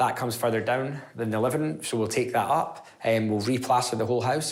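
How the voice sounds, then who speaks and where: A man's very fast speech with audible room echo around it. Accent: Edinburgh. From Scotland, Edinburgh (Leith). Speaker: property investor. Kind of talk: interview.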